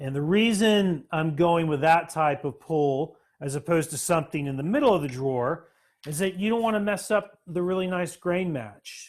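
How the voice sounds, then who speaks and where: This man has a Florida accent. He speaks at a moderate pace with lively intonation. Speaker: woodworking teacher. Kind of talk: live-streamed workshop tutorial. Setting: workshop. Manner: halting, many fillers.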